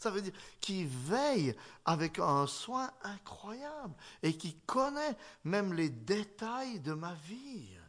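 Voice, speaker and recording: A man with a Swiss accent speaks at a very slow pace. His high pitch moves in very wide swings. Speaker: pastor. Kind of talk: sermon.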